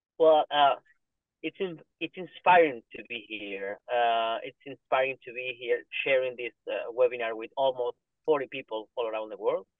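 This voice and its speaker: Man's voice, medium in pitch, with a Spanish accent and a moderate pace, ordinary pitch variation, big swings in loudness, and a dry, echo-free sound against a quiet background. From Argentina. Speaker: family doctor; webinar panellist. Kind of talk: panel discussion. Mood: warm, moved, smiling. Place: car. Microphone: video call.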